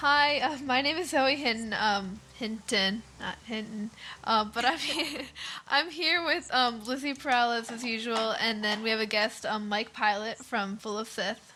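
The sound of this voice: A woman with a Pennsylvania accent, fairly high in pitch and fairly slow in pace, with ordinary pitch variation over noticeable background noise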